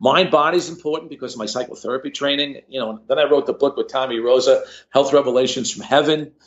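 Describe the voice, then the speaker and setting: In an American accent, a man with a fairly high pitch talks at a very fast pace, his loudness swinging widely. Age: 70s. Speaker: cardiologist. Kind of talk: podcast interview. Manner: animated.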